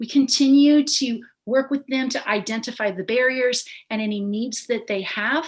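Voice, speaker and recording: At a moderate pace, a woman talks in a normal speaking voice with ordinary pitch variation. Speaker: instructional coach. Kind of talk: presentation to school board.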